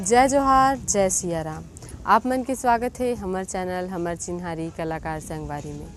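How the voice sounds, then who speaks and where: With music in the background, a woman speaks at medium pitch with lively intonation and big swings in loudness. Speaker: YouTube channel host. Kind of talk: scripted introduction.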